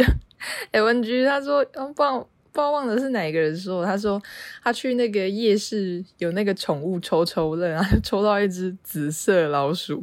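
A woman with an ordinary speaking voice and a medium pitch talks at a fairly slow pace with lively intonation, on a very clean recording with a silent background. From Taiwan, half Yilan. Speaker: podcast co-host. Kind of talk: casual chat.

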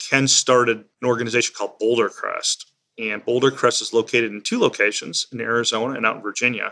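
Bright and sharp in tone, this voice comes with an American accent and monotone, flat intonation. It rushes at a very fast pace with hardly any pauses. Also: man, medium pitch for a man. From US Midwest, Illinois. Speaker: non-profit CEO and Air Force veteran. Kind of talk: interview.

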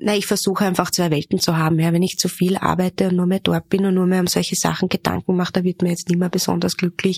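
At a very fast pace with hardly any pauses, a woman speaks in a fairly low pitch with monotone, flat intonation and very even loudness, the sound dry and close with no echo. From Upper Austria. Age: 30s. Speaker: magazine editor-in-chief. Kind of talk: interview.

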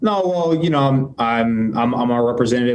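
In an American accent, a man talks at a medium pitch. Audible room echo surrounds his voice. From Tampa, Florida. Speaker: baseball pitcher. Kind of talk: press conference. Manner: halting.

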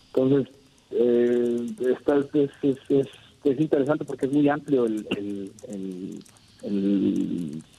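The speaker has a Mexican accent. Pitch variation is ordinary. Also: man. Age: 30s. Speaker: sports artist, custom painter. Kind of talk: interview. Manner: halting, many repeated words.

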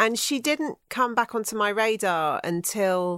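In a very clean recording with a silent background, a woman speaks with lively intonation in an ordinary speaking voice. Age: 40s. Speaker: comedian and writer. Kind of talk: casual chat.

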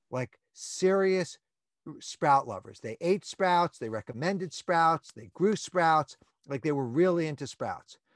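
An enthusiastic man with an American accent speaks at a fairly slow pace. His pitch is high and his intonation lively. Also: dry, close sound with no echo, quiet background. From New York. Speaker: plant-based advocate guest. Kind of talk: interview. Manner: enthusiastic, high energy.

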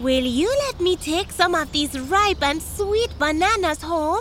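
A put-on character voice at an extremely high pitch and fairly slow pace, with clear background noise. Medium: audio drama. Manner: sly, boastful.

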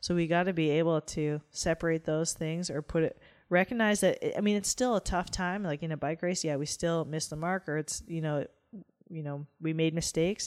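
With a western Canadian accent, a woman speaks at a fairly low pitch and moderate pace with fairly even intonation. The recording is very clean with a silent background, and the sound is dry and close, with no echo. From rural Alberta, Canada. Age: 30s. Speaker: professional cyclist. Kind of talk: interview.

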